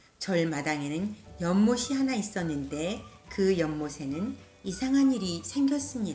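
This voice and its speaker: A woman speaks at a very slow pace with very wide pitch swings, music playing in the background. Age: old. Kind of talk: storybook read-aloud.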